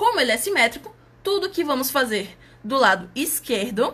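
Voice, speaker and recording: A woman with a high pitch speaks in a raised, projected voice at a fairly slow pace. Her pitch swings very widely, and there is noticeable background noise. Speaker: math outreach presenter. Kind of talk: tutorial.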